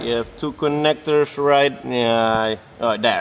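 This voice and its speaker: A man talks fairly slowly, his pitch medium. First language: not English. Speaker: car tuning youtuber. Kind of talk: workshop vlog tutorial. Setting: workshop. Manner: casual, halting with fillers.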